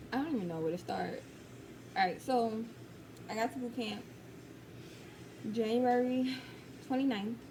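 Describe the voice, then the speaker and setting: Speaking with an American accent at a moderate pace, a woman uses a fairly high pitch and ordinary pitch variation, leaving long, frequent pauses amid noticeable background noise and audible room echo. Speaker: Navy recruit vlogger. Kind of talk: casual vlog storytelling. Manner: casual, many fillers.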